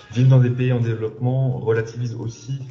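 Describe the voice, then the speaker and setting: A man speaks at a moderate pace while noticeable background noise continues. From Senegal. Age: 30s. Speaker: entrepreneur. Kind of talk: testimony. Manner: halting.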